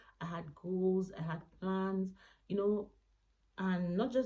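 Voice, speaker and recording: Soft-spoken and somewhat breathy, a woman talks with a fairly low pitch, a dark, mellow tone, and ordinary pitch variation. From Nigeria. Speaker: lifestyle vlogger. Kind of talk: casual vlog monologue. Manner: soft-spoken, lowered voice.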